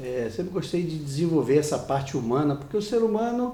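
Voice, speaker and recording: The pitch swings very widely, and the room echo is easy to hear. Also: man. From Brazil, Rio de Janeiro. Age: 60s. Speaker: business consultant. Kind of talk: TV interview.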